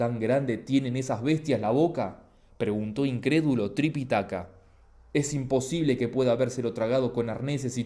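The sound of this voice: Pitch varies in an ordinary way as an unforced reading voice carries the text.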